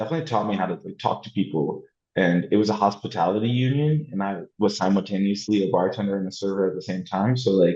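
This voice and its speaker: This man speaks very fast with hardly any pauses, in an American accent. His fairly low voice has a dark, mellow tone and ordinary pitch variation. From New York. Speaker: artist and printmaker. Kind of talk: interview conversation. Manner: casual, filler-heavy (like, you know).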